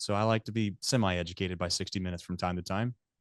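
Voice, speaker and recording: With an American accent, a man talks at a very fast pace. The background is quiet, and the sound is dry and close with no echo. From Ohio (Hamilton). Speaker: media company founder. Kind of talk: interview. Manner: halting.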